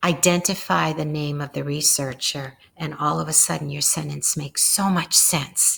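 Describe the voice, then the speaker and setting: Using vocal fry, a woman talks at a moderate pace with a very deep, low pitch and fairly even intonation. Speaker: instructor. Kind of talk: narrated lecture slides.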